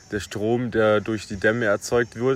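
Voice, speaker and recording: A man speaks at a medium pitch. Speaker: podcast co-host. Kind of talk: casual chat; joke telling. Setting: outdoors at a riverside camp.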